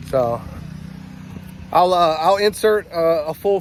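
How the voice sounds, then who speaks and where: Over noticeable background noise, a man speaks in a high voice with fairly even intonation. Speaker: homesteader vlogger. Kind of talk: casual vlog walkthrough.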